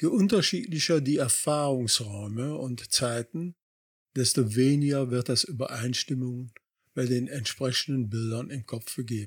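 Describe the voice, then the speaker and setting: His pitch varies in an ordinary way as he talks at a fairly slow pace. The man sounds somewhat breathy. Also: medium pitch for a man. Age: 60s. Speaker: life coach podcaster. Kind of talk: scripted narration. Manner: formal.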